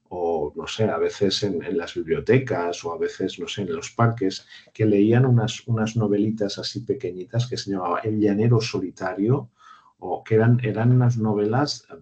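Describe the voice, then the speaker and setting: Somewhat breathy and dark, mellow in tone, a man with a fairly low pitch talks at a moderate pace with fairly even intonation. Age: 60s. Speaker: university lecturer. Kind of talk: online seminar discussion. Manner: hesitant, with many repetitions and fillers.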